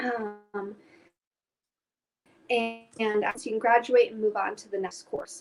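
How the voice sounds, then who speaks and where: This woman has a high-pitched voice and speaks with a Chicago accent. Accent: Chicago American English. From US Midwest, Chicago. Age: 20s. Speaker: climate education director. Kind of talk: interview. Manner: hesitant with fillers.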